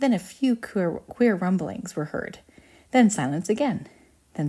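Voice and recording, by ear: A passage is read out in a natural voice. Its pitch moves in a lively way.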